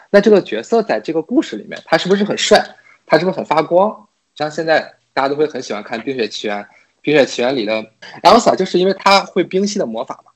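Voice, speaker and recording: The speaker talks very fast with vocal fry and very wide pitch swings. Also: man, fairly high pitch for a man. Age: 30s. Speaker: podcast guest. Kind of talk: casual chat.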